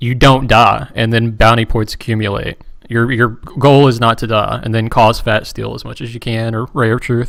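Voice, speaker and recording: At a moderate pace, a man with a West Virginian accent speaks in fairly even intonation. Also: medium pitch for a man. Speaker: game broadcast commentator. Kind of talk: live commentary.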